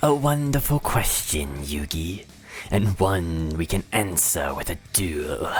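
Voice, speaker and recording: A put-on character voice speaks at a low pitch and a fairly slow pace. Clear background noise sits behind it. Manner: smug, theatrical.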